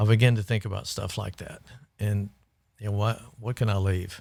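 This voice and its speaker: A man speaks with a Texan accent at a fairly low pitch, his intonation flat and monotone. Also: very clean recording, silent background. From Texas Gulf Coast, Port Lavaca. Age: 60s. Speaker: community volunteer. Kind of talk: casual interview.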